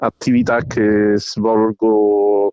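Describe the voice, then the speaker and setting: A man with monotone, flat intonation. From Rome. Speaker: parent association volunteer. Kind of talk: personal testimony. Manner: halting, many fillers.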